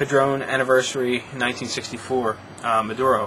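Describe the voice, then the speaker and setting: Noticeable background noise sits behind a man talking at a medium pitch with monotone, flat intonation. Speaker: cigar reviewer. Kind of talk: product review. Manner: fast; hesitant, many fillers.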